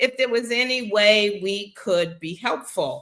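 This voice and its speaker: A woman with an American accent speaks at a very slow pace. Her tone is bright and sharp, with lively intonation. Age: 60s. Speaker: talk show host. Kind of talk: casual talk show monologue. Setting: live stream. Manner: animated.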